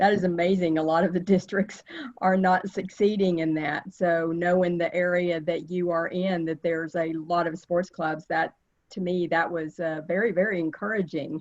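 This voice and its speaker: A woman with a Texas accent speaks at a moderate pace in a fairly low voice, her intonation monotone and flat. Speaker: service club officer. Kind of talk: virtual meeting remarks. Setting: video call.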